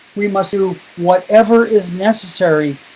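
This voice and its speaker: A man with a high pitch, noticeable background noise around him. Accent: Canadian. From Canada. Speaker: education speaker. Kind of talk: keynote presentation. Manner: emphatic.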